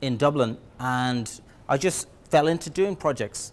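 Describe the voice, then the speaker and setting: A man with an Irish accent at a medium pitch. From Ireland. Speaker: project management trainer. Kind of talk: lecture. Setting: presentation room with audience. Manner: halting, many fillers and repeats.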